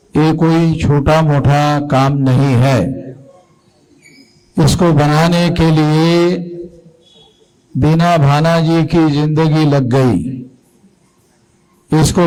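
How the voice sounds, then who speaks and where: Through audible room echo, a man with a fairly high pitch speaks with very even loudness and a monotone, flat intonation. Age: 60s. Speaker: activist leader. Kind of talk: political speech.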